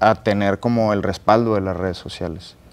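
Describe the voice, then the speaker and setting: Intonation stays fairly even throughout. The speaker, a man, moves at a fairly quick pace. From Monterrey, northern Mexico; Mexico. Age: 20s. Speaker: barbecue cook and content creator; content creator. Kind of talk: interview. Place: studio.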